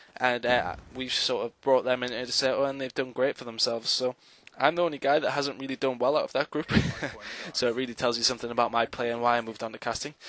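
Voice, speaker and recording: A man with a slight Newcastle accent talks very fast in a flat monotone at a medium pitch. The sound is dry and close, with no echo. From northern England, Newcastle. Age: 20s. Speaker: esports commentator. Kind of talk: self-introduction monologue. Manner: hesitant, many fillers.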